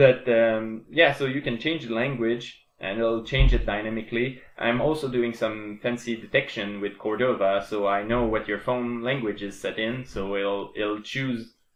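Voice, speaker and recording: Speaking with a French Canadian accent at a moderate pace, a man keeps a medium pitch and fairly even intonation with hardly any pauses. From Quebec. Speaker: programmer and game developer. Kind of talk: casual tutorial / dev vlog. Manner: halting, many fillers and restarts.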